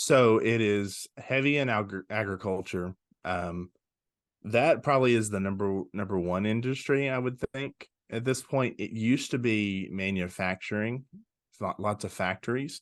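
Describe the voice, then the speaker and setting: A man with a Southern US accent, fairly low in pitch, at a moderate pace, with ordinary pitch variation and a quiet background. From Arkansas (West Memphis). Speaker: pastor. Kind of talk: casual interview chat. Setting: video podcast interview.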